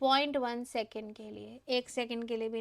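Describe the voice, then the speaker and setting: In a very clean recording with a silent background, a woman speaks in an ordinary speaking voice at a moderate pace, her fairly high pitch moving in fairly even intonation. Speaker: online exam-prep teacher. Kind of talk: live class lecture. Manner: Hindi-English code-mixing.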